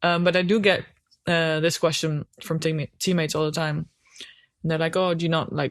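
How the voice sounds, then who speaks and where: A woman with a Dutch accent speaks at a moderate pace in a fairly low pitch. Her intonation is monotone and flat, with a dry, close sound and no echo. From Netherlands. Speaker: hockey goalkeeper. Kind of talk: casual chat. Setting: on a sofa at home.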